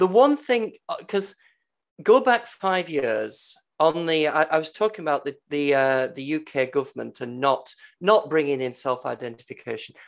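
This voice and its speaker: A man with an English accent, fairly high-pitched, with lively intonation at a moderate pace. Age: 50s. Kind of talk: casual chat. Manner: halting.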